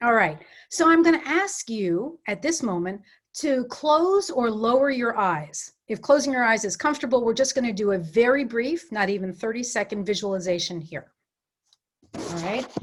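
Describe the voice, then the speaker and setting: This voice swings very widely in pitch and has a New York accent. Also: woman, fairly high pitch for a woman. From New York City area. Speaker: coach and facilitator. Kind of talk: workshop presentation; guided visualization. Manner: fast.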